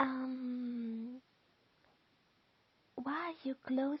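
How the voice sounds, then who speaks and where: A high-pitched woman speaks in a flat, monotone way. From Austria, Lower Austria countryside. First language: German. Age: 40s. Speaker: tarot card reader. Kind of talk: tarot reading and guided visualization. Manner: halting.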